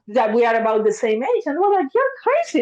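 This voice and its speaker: With an Argentine accent, a woman talks in very wide pitch swings. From Argentina, Buenos Aires. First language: Spanish. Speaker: therapist. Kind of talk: podcast interview. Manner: animated.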